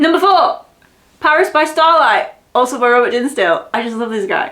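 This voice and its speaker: Her bright, sharp tone and high pitch swing very widely as this woman talks at a moderate pace. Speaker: book channel co-host. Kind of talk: casual chat. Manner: animated.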